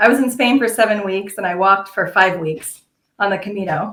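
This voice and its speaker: A woman's normal speaking voice with an American accent, medium pitch and fairly even intonation. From United States. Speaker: pilgrim. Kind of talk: interview storytelling.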